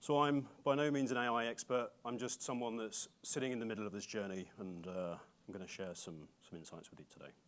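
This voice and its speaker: A man with an English accent talks at a medium pitch and a fairly quick pace with hardly any pauses, showing ordinary pitch variation and big swings in loudness. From England. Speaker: bank data platform executive. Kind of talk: conference keynote talk.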